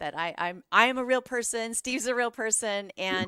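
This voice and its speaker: A woman with a normal speaking voice and lively intonation at a moderate pace, in a dry, close, echo-free, very clean recording with a silent background. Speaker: podcast host. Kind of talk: show intro to camera.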